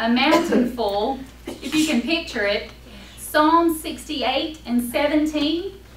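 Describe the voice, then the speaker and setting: In a North Carolina accent, a woman with a high voice speaks very slowly with ordinary pitch variation, and the room echo is audible. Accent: Southern US (North Carolina). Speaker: Sunday school teacher. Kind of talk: Bible lesson.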